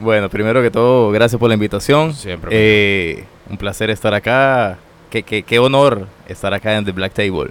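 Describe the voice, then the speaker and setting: A man talks at a moderate pace in a fairly low voice. He has an ordinary speaking voice with ordinary pitch variation. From Venezuela, Táchira (San Cristóbal). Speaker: systems engineer, immigrant. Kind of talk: casual interview. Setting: studio.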